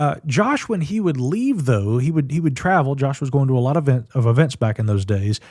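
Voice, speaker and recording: Somewhat breathy and fairly high-pitched, a man with an American accent talks at a fairly quick pace with lively intonation and hardly any pauses. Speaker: UFO researcher and podcast host. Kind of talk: casual interview chat.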